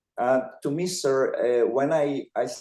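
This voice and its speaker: The speaker is a man. He talks with a non-native accent. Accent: noticeable foreign. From Montenegro. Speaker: filmmaker. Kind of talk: interview. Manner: halting.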